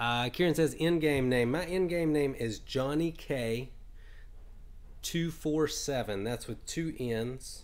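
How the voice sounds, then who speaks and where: Over music in the background, a man with a slight Southern US accent talks at a very slow pace in a fairly high pitch with ordinary pitch variation. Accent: slight Southern twang. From US South, Alabama. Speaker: game streamer. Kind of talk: live gameplay stream commentary. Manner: casual, filler-heavy.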